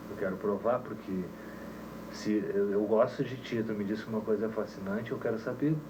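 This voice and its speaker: Audible room echo surrounds a man with a fairly low pitch and fairly even intonation, speaking at a moderate pace. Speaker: musician and teacher, reggae band leader. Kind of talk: casual interview chat. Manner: calm, relaxed.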